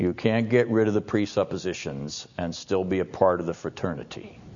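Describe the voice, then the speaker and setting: Lively intonation marks a man's very deep, low-pitched voice. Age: 60s. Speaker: seminary professor. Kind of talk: lecture. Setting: classroom with audience. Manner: formal.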